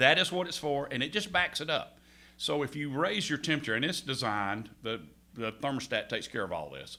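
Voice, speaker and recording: Vocal fry runs through a man's bright, sharp voice as he speaks at a fairly quick pace with a fairly high pitch and lively intonation. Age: 50s. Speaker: heating and air contractor. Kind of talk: radio interview. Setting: radio studio. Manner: halting.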